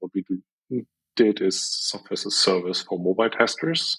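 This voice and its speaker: With a German accent, a man speaks at a moderate pace in a fairly low voice, the sound dry and close with no echo. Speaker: software entrepreneur. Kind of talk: interview.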